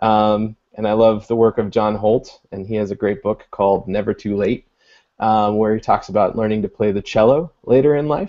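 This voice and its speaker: A man with an American accent, a normal speaking voice, and fairly low pitch. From US Midwest, Illinois. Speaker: education technology coordinator and author. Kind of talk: video call panel discussion. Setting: video call.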